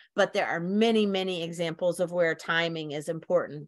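A woman with an American accent has a normal speaking voice at a fairly low pitch, with ordinary pitch variation. She talks at a moderate pace against a quiet background. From Virginia, USA. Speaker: horticulture professor, entomologist. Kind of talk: educational lecture.

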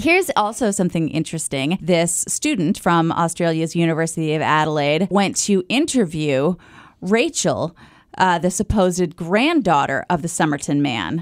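A woman speaks at a moderate pace in a plain, everyday voice, her pitch fairly low. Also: ordinary pitch variation. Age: 30s. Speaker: podcast co-host. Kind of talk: casual chat.

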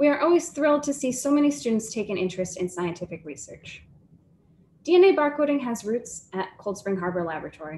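Fairly high-pitched and somewhat breathy, a woman speaks at a fairly quick pace with very wide pitch swings. Her tone is dark and mellow, with light background noise. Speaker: science program manager. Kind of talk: formal announcements. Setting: video call. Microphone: video call.

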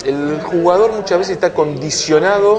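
Music plays in the background as a man talks in a high pitch. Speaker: sports journalist. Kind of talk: interview conversation. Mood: animated anecdote telling. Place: cafe.

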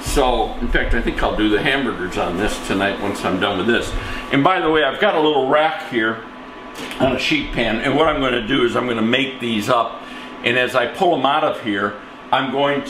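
A man's voice with very even loudness and ordinary pitch variation, plus audible room echo and light background noise. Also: moderate pace. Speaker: home cook host. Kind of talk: cooking tutorial. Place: kitchen. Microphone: camera far.

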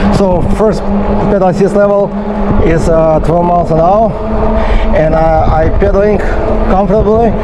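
Loud background noise surrounds a man who keeps a moderate pace. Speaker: e-bike reviewer. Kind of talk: casual review commentary while riding. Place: bicycle. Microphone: phone near.

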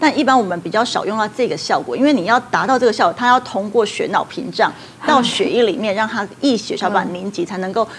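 A woman talks at a very fast pace with hardly any pauses. Her intonation is lively, with light background noise. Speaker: traditional Chinese medicine doctor. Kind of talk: TV talk show expert explanation. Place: studio. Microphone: lapel.

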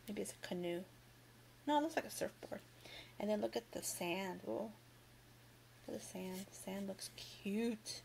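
Speaking at a moderate pace with long, frequent pauses, a woman uses a medium pitch and a somewhat breathy voice, her pitch swinging very widely. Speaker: Dollar Tree haul YouTuber. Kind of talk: casual haul video, product showcase. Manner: animated, cheerful.

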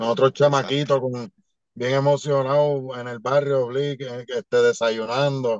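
A man talks at a fairly slow pace in a monotone, flat intonation. The background is quiet, and the sound is dry with no echo. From Puerto Rico. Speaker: professional wrestler; podcast guest. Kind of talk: casual interview. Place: car. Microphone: video call.

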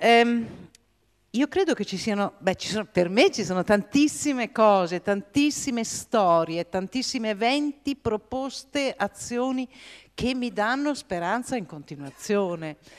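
Against a quiet background, a woman with a fairly high pitch and lively intonation speaks at a fairly slow pace. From United States. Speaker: peace activist; speaker. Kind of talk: panel debate. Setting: theatre stage with audience. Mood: warm, smiling, anecdotal. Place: stage. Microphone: handheld.

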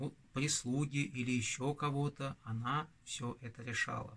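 A man speaks with a bright, sharp tone. He goes at a very slow pace. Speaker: channel host. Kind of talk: storytelling vlog. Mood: calm, festive. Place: home room.

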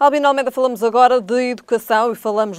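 Against a quiet background, a woman uses a normal speaking voice at a fairly high pitch, with ordinary pitch variation. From Portugal. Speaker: tv news host. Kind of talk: interview. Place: studio. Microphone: lapel.

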